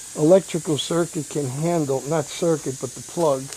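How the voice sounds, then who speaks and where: Someone talks in a New York accent against noticeable background noise. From New York City (Bronx). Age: 60s. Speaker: hobbyist vlogger. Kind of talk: casual vlog talk. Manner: halting, many fillers.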